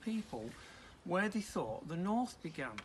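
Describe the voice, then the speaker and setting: A man speaks with a northern English accent. His pace is moderate. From northern England. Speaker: preacher. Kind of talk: sermon.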